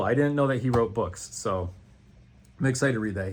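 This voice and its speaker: At a fairly quick pace, a man speaks in an animated tone with ordinary pitch variation. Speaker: booktuber. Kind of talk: casual chat. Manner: fast.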